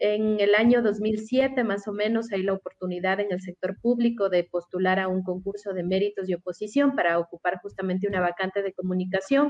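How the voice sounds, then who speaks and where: With hardly any pauses, a woman talks at a fairly quick pace in a medium pitch with fairly even intonation. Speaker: communications professional. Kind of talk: radio interview.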